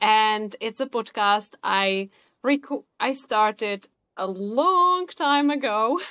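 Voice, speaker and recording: With a Czech accent, a woman talks very slowly at a fairly high pitch with lively intonation. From Czech Republic. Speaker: podcaster and emotional wellness coach. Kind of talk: interview conversation.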